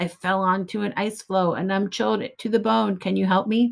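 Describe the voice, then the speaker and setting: A put-on, growling character voice, female-sounding at a medium pitch, at a moderate pace. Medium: read story.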